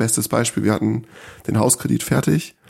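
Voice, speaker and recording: A man speaks at a fairly quick pace with a dark, mellow tone, medium pitch, and vocal fry. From northern Germany, small village. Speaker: homeowner who built a house. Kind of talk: casual interview. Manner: hesitant, filler-heavy.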